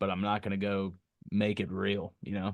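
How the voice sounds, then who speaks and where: Over a quiet background, a man with an American accent speaks fairly slowly in a fairly low, monotone, flat voice. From US South, Memphis, Tennessee. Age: 20s. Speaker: musical artist. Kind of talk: casual interview chat. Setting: podcast studio.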